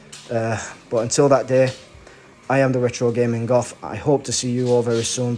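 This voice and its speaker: Music plays in the background. The intonation is monotone and flat. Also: man, medium pitch for a man, fairly quick pace. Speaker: gaming YouTuber. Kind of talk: casual unscripted video talk. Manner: rushed with frequent stutters and fillers.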